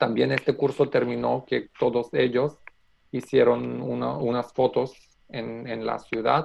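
A man speaks with a Macedonian accent. His pace is very slow, broken by long, frequent pauses. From North Macedonia. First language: Macedonian (speaking Spanish). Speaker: economist and youth worker. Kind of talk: casual interview. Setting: video call. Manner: halting.

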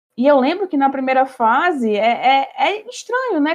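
A woman's high-pitched voice at a moderate pace. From Natal, northeastern Brazil. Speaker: history student, former olympiad competitor. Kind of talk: podcast conversation.

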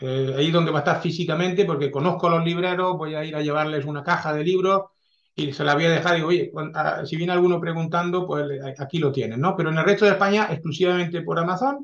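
A man's high-pitched voice at a very fast pace. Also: ordinary pitch variation. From France, then Catalonia from age 14. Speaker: historical novelist. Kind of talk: interview.

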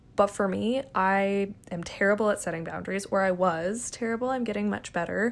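This is a woman with a normal speaking voice at medium pitch. She moves at a fairly quick pace with fairly even intonation. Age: 20s. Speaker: podcast host. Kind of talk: solo monologue podcast.

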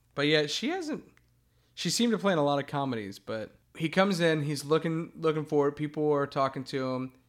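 On a very clean recording with a silent background, a man speaks at a fairly quick pace. He has an ordinary speaking voice, fairly high in pitch with ordinary variation. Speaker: co-host. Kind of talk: casual chat, movie discussion.

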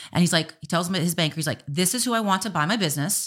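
A woman at a fairly low pitch, talking at a very fast pace with ordinary pitch variation, on a very clean recording with a silent background. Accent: American. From Miami, Florida. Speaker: restaurant owner and business coach. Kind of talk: casual interview.

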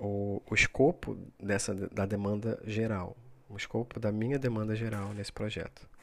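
On a very clean recording with a silent background, a man with a fairly low pitch speaks at a moderate pace with fairly even intonation. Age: 30s. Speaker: podcaster. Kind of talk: solo reflective monologue. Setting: recording at midnight. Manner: hesitant, many fillers.

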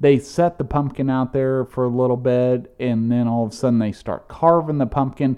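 A man with a plain, everyday voice, at medium pitch, moderate pace and fairly even intonation. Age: 40s. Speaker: podcast co-host. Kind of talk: casual chat.

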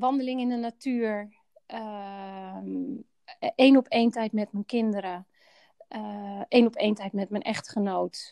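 Very slow delivery with long, frequent pauses, big swings in loudness, a dark, mellow tone, and a dry, close sound with no echo. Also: woman, fairly high pitch for a woman, ordinary pitch variation. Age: 40s. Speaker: healthcare director. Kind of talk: personal interview. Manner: halting.

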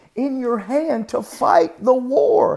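There is noticeable background noise behind this man. His tone is animated. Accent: American. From North Carolina. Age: 40s. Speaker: evangelist. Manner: animated, exhortative and emphatic, with a chatty, joking tone.

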